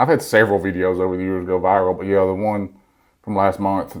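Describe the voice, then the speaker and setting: In a very clean recording with a silent background, a man with a Southern US accent talks at a fairly quick pace, his very deep, low pitch held in monotone, flat intonation. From Alabama. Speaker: content creator. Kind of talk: interview answer. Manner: funny, honest.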